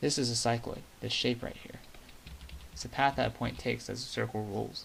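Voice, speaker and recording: Soft-spoken and medium in pitch, a man talks at a fairly quick pace with ordinary pitch variation. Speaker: math video creator. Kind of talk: tutorial.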